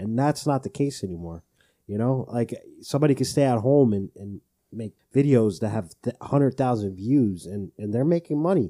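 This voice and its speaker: In an unremarkable speaking voice, the speaker uses lively intonation at a moderate pace, with a dry, close sound and no echo. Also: man, medium pitch for a man. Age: 20s. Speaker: podcast co-host. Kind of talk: casual chat.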